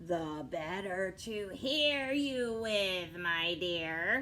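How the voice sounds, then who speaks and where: Clear background noise runs under a put-on character voice at a middle pitch and a very slow pace. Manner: sly, feigning sweetness.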